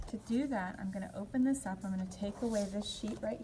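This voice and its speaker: With an ordinary speaking voice, this woman uses a medium pitch and ordinary pitch variation. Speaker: design instructor. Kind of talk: tutorial.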